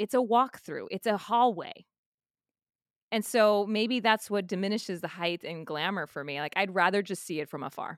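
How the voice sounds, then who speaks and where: A woman with an American accent, fairly high in pitch and animated in tone, at a moderate pace, in a dry, close, very clean recording with no echo and a silent background. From South Texas. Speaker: musical theater actress. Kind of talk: casual interview chat.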